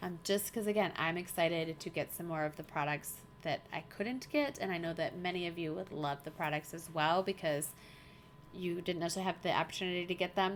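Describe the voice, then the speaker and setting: Pitch moves up and down in an ordinary way. The delivery comes at a fairly quick pace. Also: woman, fairly low pitch for a woman. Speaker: craft livestream host. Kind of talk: casual chat. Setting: live stream. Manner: fast; animated.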